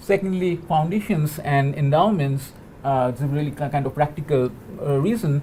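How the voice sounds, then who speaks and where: Speaking in a Bengali accent, a man uses a fairly high pitch with ordinary pitch variation at a moderate pace. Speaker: postdoctoral researcher in digital humanities. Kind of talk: panel talk. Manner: halting, many fillers and repetitions.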